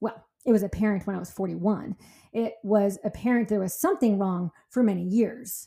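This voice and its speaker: A woman's dark, mellow tone at a medium pitch, in an American accent with fairly even intonation. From California. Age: 40s. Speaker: podcast host, fitness and wellness coach. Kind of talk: personal monologue. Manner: loud; fast.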